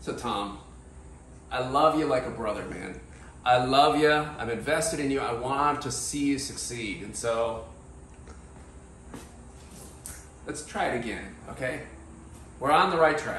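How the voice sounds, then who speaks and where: A man at a fairly slow pace, with long, frequent pauses, ordinary pitch variation and big swings in loudness, amid audible room echo and light background noise. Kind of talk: comic skit banter. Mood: playful, mock-serious. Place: kitchen.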